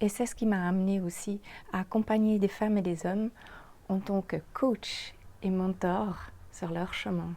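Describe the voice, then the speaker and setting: With a Swiss German accent, a woman speaks at medium pitch in a somewhat breathy, dark, mellow voice, keeping fairly even intonation at a fairly slow pace with long, frequent pauses. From German-speaking Switzerland. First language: Swiss German (speaking French). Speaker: podcast host, makeup artist and life coach. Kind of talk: podcast monologue, self-introduction.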